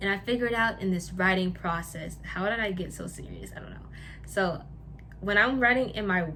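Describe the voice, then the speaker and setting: A woman talks with ordinary pitch variation. The room has audible echo. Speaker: lifestyle YouTuber. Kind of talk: casual vlog talk. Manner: halting, with stumbles and repeats.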